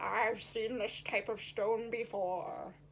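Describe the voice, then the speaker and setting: A woman uses a put-on character voice, fairly high in pitch and very slow in pace. Clear background noise runs underneath. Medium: read story.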